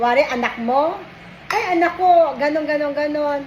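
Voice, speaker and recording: A woman speaks loudly at an extremely high pitch and a moderate pace. The room echo is audible, and there is noticeable background noise. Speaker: vlogger. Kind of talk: casual chat. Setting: lunch break at work.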